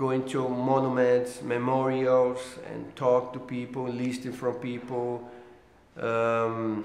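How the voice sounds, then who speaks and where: A man with a Brazilian accent and medium pitch speaks at a very slow pace, with audible room echo and noticeable background noise. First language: Portuguese. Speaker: political cartoonist. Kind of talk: interview. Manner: halting, many fillers and repeats.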